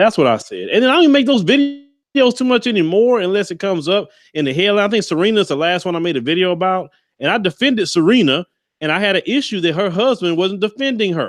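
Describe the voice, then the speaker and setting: Talking at a very fast pace, a man with a high pitch and lively intonation speaks with a Southern US accent against a quiet background. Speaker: YouTube commentator. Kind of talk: interview. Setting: livestream video call.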